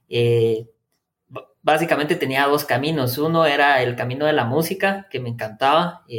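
A man talks at a moderate pace. His voice is fairly high, with ordinary pitch variation. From Guatemala, Quetzaltenango. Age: 20s. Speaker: engineer and university professor. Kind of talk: interview. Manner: halting, many repetitions and fillers.

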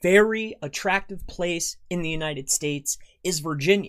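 The speaker has an American accent and keeps a moderate pace. The recording is very clean with a silent background. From Florida. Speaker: SEO marketing consultant. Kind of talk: sales pitch with screen-share tutorial.

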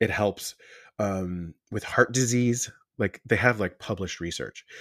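In a very clean recording with a silent background, a man with an American accent has a normal speaking voice, ordinary pitch variation and a fairly slow pace. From Long Island, New York. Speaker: esthetician and skincare business owner. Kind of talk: casual interview chat.

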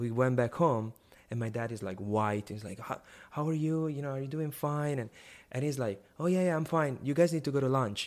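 Speaking at a fairly quick pace, a man of medium pitch with an Italian accent is heard on a very clean recording with a silent background. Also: ordinary pitch variation. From northern Italy (Milan). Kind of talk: testimony. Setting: live video stream.

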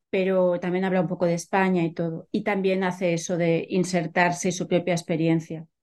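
A woman's fairly low voice, quick-paced and monotone, with hardly any pauses. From Catalonia, Spain. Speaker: literature professor and author. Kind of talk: interview.

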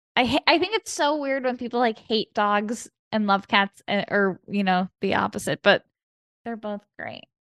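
A woman with a normal speaking voice talks at a moderate pace, her pitch fairly high and her intonation lively. The sound is dry and close with no echo. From US Midwest, Chicago. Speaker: comedian and actor. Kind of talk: casual chat.

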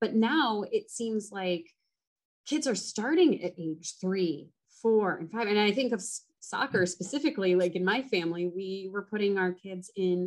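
A woman with an ordinary speaking voice and a General American accent, medium pitch, ordinary pitch variation and a moderate pace. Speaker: podcast host. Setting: studio.

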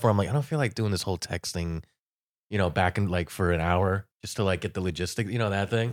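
Here a man talks at a very fast pace with a fairly low pitch. The recording is very clean, with a silent background. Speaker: comedian. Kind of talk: casual chat.

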